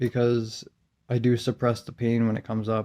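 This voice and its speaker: A man talks at medium pitch in a monotone, flat intonation. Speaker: video diarist. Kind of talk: personal video diary. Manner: halting.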